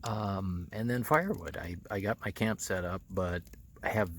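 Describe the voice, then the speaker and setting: A quiet man at a fairly slow pace, his intonation fairly even. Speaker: motorcycle vlogger. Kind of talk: casual vlog talk to camera. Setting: outdoors at night campsite. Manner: speaking quietly; halting, many fillers.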